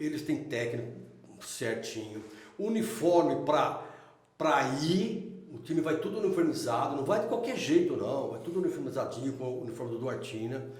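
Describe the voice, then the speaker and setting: A man's voice, fairly high in pitch, with very wide pitch swings at a moderate pace, amid noticeable background noise and audible room echo. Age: 60s. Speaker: local resident interviewee. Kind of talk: casual interview.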